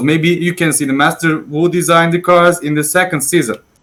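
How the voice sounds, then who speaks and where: A non-native accent at a moderate pace. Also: man. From Turkey. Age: 20s. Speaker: 3D modeler. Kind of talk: prepared presentation. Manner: halting.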